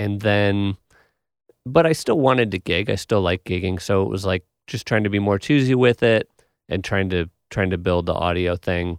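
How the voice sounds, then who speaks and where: In an ordinary speaking voice, a man with an American accent talks at a moderate pace and a fairly low pitch with ordinary pitch variation, recorded very cleanly with a dry, close sound, no echo and a silent background. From Wisconsin (Milwaukee). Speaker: podcast host and bassist. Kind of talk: casual chat. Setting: recording studio.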